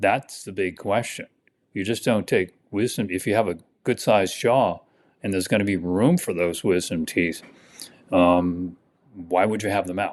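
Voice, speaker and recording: Against a quiet background, a man talks at a moderate pace. His very deep, low pitch has fairly even intonation. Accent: American. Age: 70s. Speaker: dentist. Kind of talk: podcast interview. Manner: halting, many fillers and repeats.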